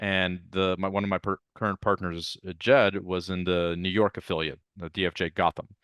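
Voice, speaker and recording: The speech moves at a moderate pace with hardly any pauses. Its intonation is monotone and flat. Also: man, very deep, low pitch for a man. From Ukraine (Odessa), emigrated to US 1989. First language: Russian. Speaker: venture capitalist. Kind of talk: interview.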